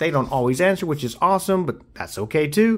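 Very wide pitch swings with an American accent. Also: man. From US South, Nashville, Tennessee. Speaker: YouTuber, autograph collector. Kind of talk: casual hobby video, showing mail returns. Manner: animated. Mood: pleased, upbeat. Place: home room.

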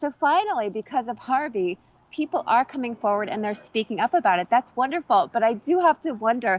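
A woman with a plain, everyday voice speaks at a fairly high pitch with lively intonation, the sound dry and close with no echo over a quiet background. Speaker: actress. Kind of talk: casual interview. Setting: video call.

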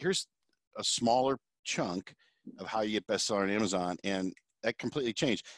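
A man at a very fast pace, dry sound with no echo, quiet background. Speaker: podcast host. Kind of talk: interview. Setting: video call. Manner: casual, joking. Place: office. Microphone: headset.

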